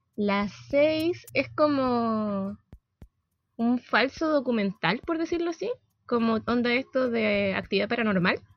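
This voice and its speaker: A woman's fairly high voice with a Chilean accent, very slow in pace, lively in intonation. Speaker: podcast co-host. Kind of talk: casual chat.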